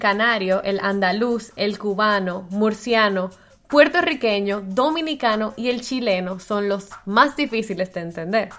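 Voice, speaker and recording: Noticeable background noise behind fairly slow talking with ordinary pitch variation. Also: woman. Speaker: podcast co-host. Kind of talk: casual chat.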